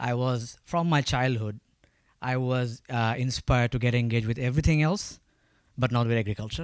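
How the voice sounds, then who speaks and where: A man with a Bangladeshi accent speaks with ordinary pitch variation on a very clean recording with a silent background. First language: Bengali. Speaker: agritech company founder. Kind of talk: panel talk. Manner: halting.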